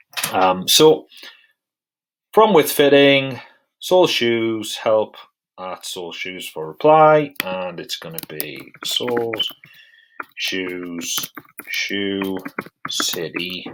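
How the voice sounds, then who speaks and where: Someone with a British accent speaks at a very slow pace, pausing long and often. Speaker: software tutorial presenter. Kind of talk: tutorial. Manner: casual, with many fillers.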